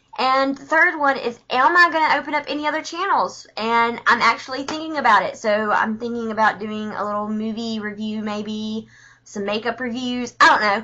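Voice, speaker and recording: Talking at a moderate pace with hardly any pauses, a woman with a strong Southern US accent has a fairly high pitch and ordinary pitch variation. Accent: thick Southern US. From US South, Alabama. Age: 20s. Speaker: book reviewer vlogger. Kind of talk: casual video review. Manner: chatty, informal.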